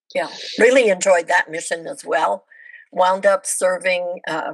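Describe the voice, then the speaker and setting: A woman with an unremarkable speaking voice talks at a fairly low pitch, her intonation fairly even. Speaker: former missionary. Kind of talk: casual interview chat. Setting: video call.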